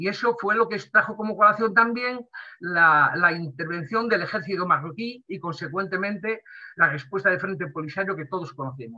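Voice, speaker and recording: Using lively intonation, a man with a high-pitched voice speaks at a moderate pace, his loudness swinging widely. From Western Sahara. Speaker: diplomat. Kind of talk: talk to an online audience.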